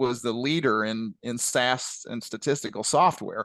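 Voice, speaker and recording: A man with a Southern Illinois accent, medium-pitched, at a fairly slow pace, with a dry, close sound with no echo and a quiet background. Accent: Southern Illinois, southern-sounding. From US Midwest, west central Illinois. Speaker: retired statistician, company founder. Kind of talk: webinar Q&A.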